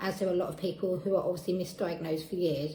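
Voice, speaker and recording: A woman speaks with an Essex accent. There is noticeable background noise and audible room echo. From Essex, England. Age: 30s. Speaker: patient sharing experience. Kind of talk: testimony.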